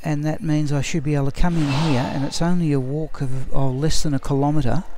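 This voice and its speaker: Over noticeable background noise, a man talks at a fairly quick pace in a fairly high voice with fairly even intonation. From Australia. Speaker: game streamer. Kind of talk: live gameplay stream chat. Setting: library. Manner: quiet; sounds bored.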